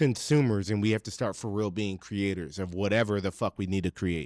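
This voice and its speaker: A man's voice comes through dry and close with no echo, on a very clean recording with a silent background. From Virginia. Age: 30s. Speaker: podcast host. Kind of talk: casual rant to camera. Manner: animated.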